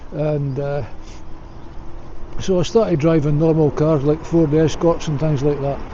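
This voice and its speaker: Speaking in a Scottish accent at a fairly slow pace with fairly even intonation, the voice carries audible room echo over noticeable background noise. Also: man, fairly high pitch for a man. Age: 60s. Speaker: vlogger. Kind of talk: casual monologue to camera. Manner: hesitant with frequent fillers.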